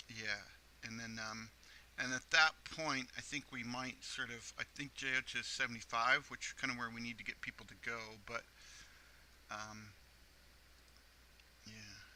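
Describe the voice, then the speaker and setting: A man talks at a moderate pace with long, frequent pauses. His medium-pitched voice has a bright, sharp tone and fairly even intonation. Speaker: gaming youtuber. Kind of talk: let's play commentary. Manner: halting, many fillers.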